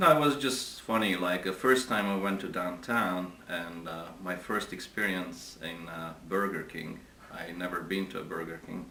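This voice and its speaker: A man with a Hungarian accent and a very deep, low pitch, ordinary pitch variation, a moderate pace with hardly any pauses, and big swings in loudness, amid audible room echo and noticeable background noise. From Hungary, Budapest. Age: 40s. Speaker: interviewee. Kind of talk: interview. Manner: halting.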